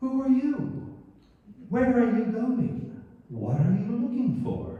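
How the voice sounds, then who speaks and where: Strong echo surrounds a put-on character voice. It is fairly high in pitch and very slow. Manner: curious, questioning.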